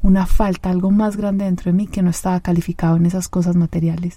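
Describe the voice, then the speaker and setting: A woman's medium-pitched, monotone, flat delivery at a fairly quick pace, over noticeable background noise. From Colombia, Medellín. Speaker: podcast host and life coach. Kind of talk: solo podcast monologue.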